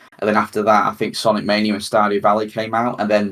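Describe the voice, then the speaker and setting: A man at a very fast pace, fairly low in pitch. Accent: British. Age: 30s. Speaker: gaming podcast host. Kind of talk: casual chat. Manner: halting, many fillers and repeats.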